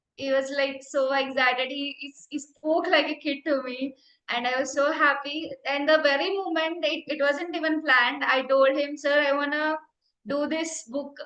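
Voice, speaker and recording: Raising and projecting her voice, a woman with an Indian accent speaks at a moderate pace in a high pitch with a bright, sharp tone. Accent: Indian English (Telugu). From India, Andhra Pradesh. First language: Telugu. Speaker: meditation teacher. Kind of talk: personal testimony. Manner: halting, repeats words.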